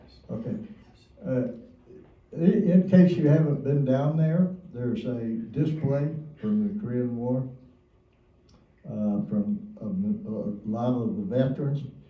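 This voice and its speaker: A man's fairly high voice, very wide pitch swings, a fairly slow pace with long, frequent pauses, and audible room echo. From Kentucky. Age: 90s. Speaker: Korean War veteran. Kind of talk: testimony.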